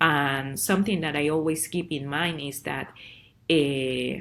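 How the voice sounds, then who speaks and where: A woman with a Spanish accent speaks with ordinary pitch variation. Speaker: parent advocate and program director. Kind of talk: presentation. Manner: halting.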